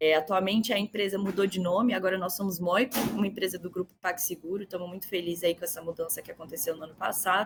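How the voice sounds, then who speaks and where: With music in the background, the speaker talks very fast in a Minas Gerais accent, with fairly even intonation, hardly any pauses and big swings in loudness. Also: woman, medium pitch for a woman. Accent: Minas Gerais (mineiro). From Brazil, Minas Gerais (Belo Horizonte). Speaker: customer success executive and mentor. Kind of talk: podcast interview.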